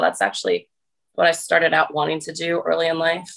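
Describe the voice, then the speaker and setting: A woman speaks in a fairly low voice with a New Jersey accent. Her intonation is flat and monotone. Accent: New Jersey American. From US, New Jersey. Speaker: fitness influencer. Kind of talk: casual interview.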